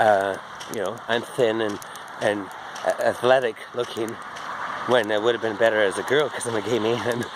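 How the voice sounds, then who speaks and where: A man at a moderate pace, monotone with flat intonation, over noticeable background noise. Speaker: vlogger. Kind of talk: casual vlog monologue. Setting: outdoors, walking. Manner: slurred speech; rambling, halting with fillers.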